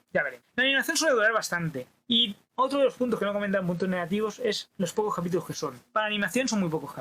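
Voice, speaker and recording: A man's lively intonation. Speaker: YouTube pop culture reviewer. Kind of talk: solo video review. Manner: fast; rushed, swallows words.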